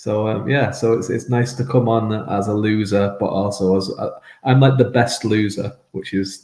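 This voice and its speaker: Somewhat breathy and dark, mellow in tone, a man speaks at a moderate pace with fairly low pitch and fairly even intonation. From mixed Irish and English upbringing. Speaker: fantasy author. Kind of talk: casual interview chat. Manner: halting, many fillers and repetitions.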